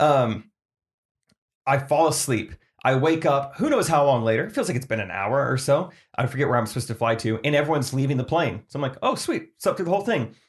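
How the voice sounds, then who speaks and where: The voice is somewhat breathy, with lively intonation. It moves at a very fast pace. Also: man, fairly high pitch for a man. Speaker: podcast co-host. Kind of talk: casual chat. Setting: studio. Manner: mumbling.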